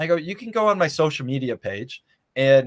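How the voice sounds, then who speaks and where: On a very clean recording with a silent background, a man with an unremarkable speaking voice and an American accent talks at a moderate pace with lively intonation. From Michigan (Muskegon). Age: 30s. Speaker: congressional candidate. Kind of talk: interview.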